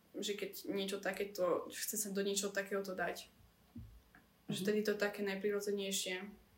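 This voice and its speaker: Room echo can be heard around the speaker. She is a woman talking at a moderate speed. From central Slovakia. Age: 20s. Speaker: student and beauty pageant finalist. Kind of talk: casual chat.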